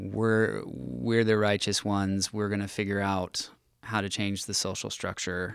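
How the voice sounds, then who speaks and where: In a very clean recording with a silent background, a man with an American accent speaks at a fairly slow pace. His voice is fairly low and shows ordinary pitch variation. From US West Coast. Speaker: pastor. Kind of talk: casual chat. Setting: studio.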